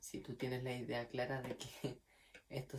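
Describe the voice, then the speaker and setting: Somewhat breathy, a man talks at a fairly slow pace in a medium pitch. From Chile, Magallanes region (Puerto Natales). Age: 20s. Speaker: violin student. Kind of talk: testimony. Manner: casual, with fillers.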